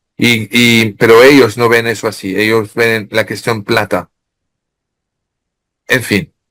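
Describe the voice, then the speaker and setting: His voice falls in the medium pitch range. The speaker is a man. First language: French (speaking Spanish). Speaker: author. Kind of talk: interview. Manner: halting.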